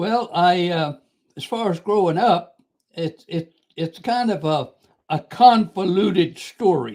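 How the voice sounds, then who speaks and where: Delivered at a very slow pace, the speech has ordinary pitch variation. The speaker has an American accent. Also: man, high pitch for a man. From US South, Georgia (Savannah). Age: 80s+. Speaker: war veteran and author. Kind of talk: interview storytelling.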